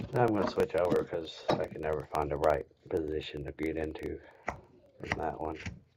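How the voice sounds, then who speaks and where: A man talks at a fairly quick pace in an American accent. Noticeable background noise runs underneath. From US South, rural Kentucky. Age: 20s. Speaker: woodcarver streamer. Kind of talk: live stream tutorial. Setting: live stream.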